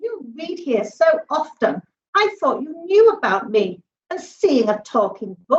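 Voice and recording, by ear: Reading aloud in a natural voice is heard with a quiet background.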